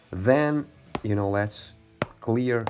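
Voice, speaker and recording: A man at a fairly slow pace, ordinary pitch variation, music in the background. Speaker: digital art tutor. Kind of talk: tutorial.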